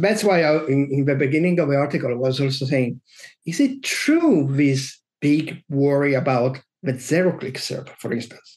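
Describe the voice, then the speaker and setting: With an Italian accent, a man talks at a moderate pace in a fairly high voice with ordinary pitch variation. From Italy. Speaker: SEO consultant. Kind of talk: interview.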